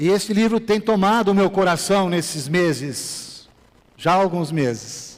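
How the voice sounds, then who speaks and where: Over noticeable background noise, a man with a high pitch talks fairly slowly, his intonation lively and his loudness very even. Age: 60s. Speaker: pastor. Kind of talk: sermon. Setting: church.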